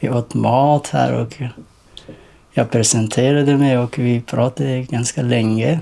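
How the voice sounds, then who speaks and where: With ordinary pitch variation around a medium pitch, a man talks at a very slow pace. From rural Afghanistan. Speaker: young refugee. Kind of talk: documentary interview. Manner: halting, many hesitations.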